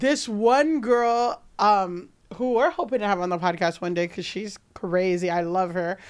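A normal speaking voice with lively intonation moves at a fairly slow pace on a very clean recording with a silent background. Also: woman. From New York, Dominican heritage. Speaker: comedian and podcast host. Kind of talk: casual comedic chat.

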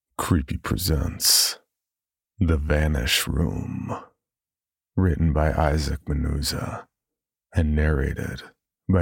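A man with a very deep, low pitch and vocal fry speaks at a very slow pace with long, frequent pauses. His loudness stays very even and his intonation fairly even. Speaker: podcast announcer. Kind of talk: scripted announcement.

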